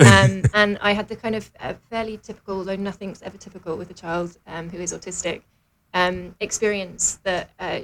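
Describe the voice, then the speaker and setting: A woman with a British accent speaks at a moderate pace, her pitch in the middle range. Her pitch moves in an ordinary way, while her loudness swings widely. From London, England. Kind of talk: radio interview.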